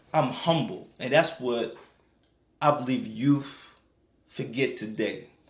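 With audible room echo, a man with an American accent speaks at a fairly slow pace, using ordinary pitch variation. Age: 20s. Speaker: evangelist and nonprofit ministry founder. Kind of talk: radio interview testimony. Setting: radio studio.

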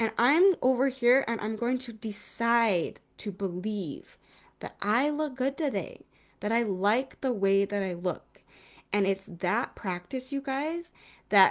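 In an ordinary speaking voice, a woman talks at a fairly slow pace with a fairly high pitch and lively intonation, captured on a very clean recording with a silent background. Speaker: parenting coach. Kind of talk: casual monologue. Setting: home video recording.

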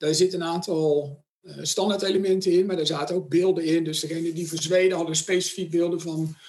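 A man's high-pitched voice stays monotone, with flat intonation throughout. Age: 40s. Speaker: sponsorship manager. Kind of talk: interview.

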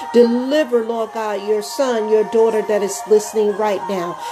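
A woman's warm, fairly high voice at a moderate pace, with ordinary pitch variation and noticeable background noise. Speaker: podcast host and prayer leader. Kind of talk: fervent prayer. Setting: home-recorded podcast with background music. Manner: earnest, pleading, repetitive with rhythmic invocations of God; warm, heartfelt, intimate.

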